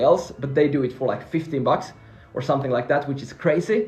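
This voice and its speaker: Very fast speech from a man, animated in tone, with ordinary pitch variation. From Finland (Swedish-speaking). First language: Swedish. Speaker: freelancing coach. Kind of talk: live stream Q&A.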